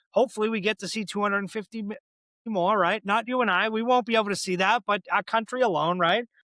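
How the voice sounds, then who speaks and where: In a raised, projected voice, a man speaks at a very fast pace with a high pitch, a bright, sharp tone and fairly even intonation, the sound dry and close with no echo on a very clean recording with a silent background. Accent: Boston. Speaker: podcast host. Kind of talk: interview conversation; scripted introduction.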